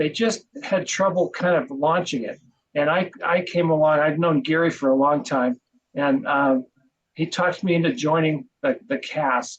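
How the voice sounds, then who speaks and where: A man speaks at a moderate pace with a fairly high pitch and lively intonation. His is an unremarkable speaking voice. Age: 60s. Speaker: podcast co-host and marketing business owner. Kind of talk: interview.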